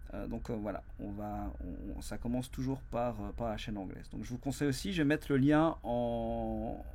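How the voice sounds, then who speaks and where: Audible room echo surrounds a man's voice. He speaks with a Belgian accent at a moderate pace. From Belgium. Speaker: business consultant and company founder. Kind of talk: YouTube explainer monologue. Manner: hesitant, many fillers and repetitions.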